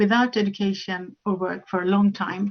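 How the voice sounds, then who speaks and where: Her voice is that of a woman at a medium pitch. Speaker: conference speaker. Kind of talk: conference presentation. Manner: fast; halting with fillers.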